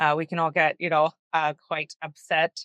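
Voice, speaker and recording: A woman with a Canadian accent speaks at a fairly slow pace. The sound is dry and close, with no echo. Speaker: panel guest with lived experience of housing. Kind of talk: panel discussion. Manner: loud; halting, many fillers.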